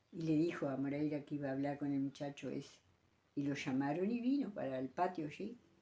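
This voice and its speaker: In a Uruguayan accent, the voice carries a dark, mellow tone at a moderate pace. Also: woman. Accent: rural Uruguayan Spanish (rioplatense). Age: 80s+. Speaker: elderly rural woman recalling old times. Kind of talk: interview storytelling. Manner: halting, with many repetitions.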